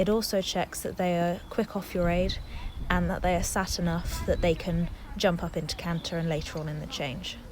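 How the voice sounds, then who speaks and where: A woman's fairly low voice with vocal fry, fairly even intonation and a moderate pace. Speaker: dressage rider. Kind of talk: instructional voiceover. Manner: monotone.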